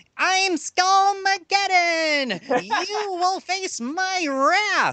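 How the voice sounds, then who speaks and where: An extremely high-pitched, put-on character voice with a menacing tone. It speaks at a very slow pace. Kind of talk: bad voice acting. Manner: corny, over-the-top menacing shouting.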